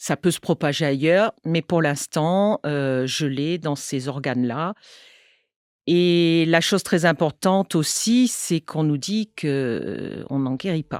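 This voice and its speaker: A woman's very deep, low voice at a very slow pace, with ordinary pitch variation, in a dry, close sound with no echo and a very clean recording over a silent background. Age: 60s. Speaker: English teacher, cancer patient. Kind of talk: testimony. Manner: halting, many hesitations.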